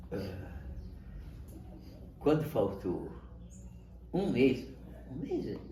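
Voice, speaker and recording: Amid audible room echo, a man with a dark, mellow tone and vocal fry speaks at a very slow pace with a medium pitch, very wide pitch swings and long, frequent pauses. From Brazil, São Paulo state interior. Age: 80s+. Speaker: grandfather telling his life story. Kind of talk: interview, personal life story. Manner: halting, repetitive.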